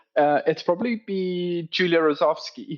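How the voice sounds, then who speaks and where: This man talks at a fairly slow pace. He has a South African accent. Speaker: operations director. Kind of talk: podcast interview.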